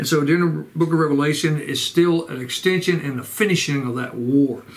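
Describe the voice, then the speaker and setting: Ordinary pitch variation at a fairly quick pace. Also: man. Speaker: church pastor. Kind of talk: sermon-style Bible study lecture. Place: home room.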